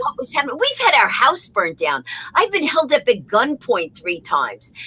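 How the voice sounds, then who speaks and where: With a New York accent, a woman uses a raised, projected voice at a high pitch. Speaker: comedienne, motivational speaker. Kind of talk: interview answer. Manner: fast.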